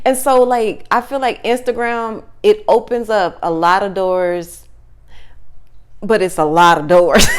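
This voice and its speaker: With an American accent, a woman speaks fairly slowly in a fairly high pitch, her tone animated and her intonation lively, music in the background. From Texas, Wichita Falls. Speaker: talk show guest. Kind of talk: casual chat.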